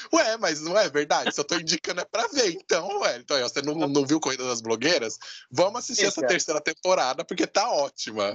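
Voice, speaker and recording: A man talks at a fairly quick pace with very wide pitch swings. The sound is dry and close, with no echo. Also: fairly high pitch for a man, hardly any pauses. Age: 30s. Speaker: podcast host. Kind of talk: casual chat.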